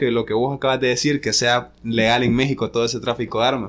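A man talks very fast at a medium pitch. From Honduras, La Ceiba (north coast). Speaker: DJ. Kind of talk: casual chat. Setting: hotel room.

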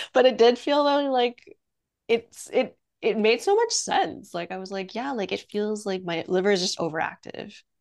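An unremarkable speaking voice, a woman's fairly high pitch carries lively intonation and big swings in loudness at a moderate pace. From Quebec, Canada (Montreal). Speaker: workshop co-facilitator. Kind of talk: casual chat.

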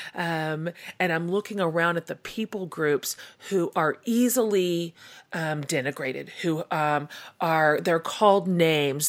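A woman's fairly low, animated voice with ordinary pitch variation at a fairly slow pace, on a very clean recording with a silent background. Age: 40s. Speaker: podcast host and author. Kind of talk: casual interview.

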